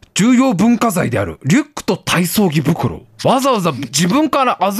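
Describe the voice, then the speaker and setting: An animated man at a moderate pace, the sound dry and close with no echo. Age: 30s. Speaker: radio show host. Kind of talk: casual chat. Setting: live stream broadcast.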